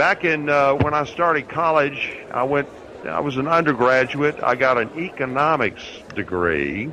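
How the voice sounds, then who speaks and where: A man speaks with an American accent and a fairly high pitch. Noticeable background noise is present. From US South, North Alabama (Huntsville). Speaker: radio host and lawyer. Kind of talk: radio show monologue.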